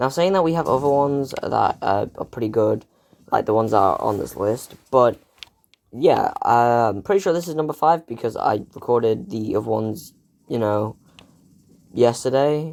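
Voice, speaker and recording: A man speaks quietly. His intonation is lively. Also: medium pitch for a man, moderate pace. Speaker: gaming YouTuber. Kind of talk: casual gaming commentary.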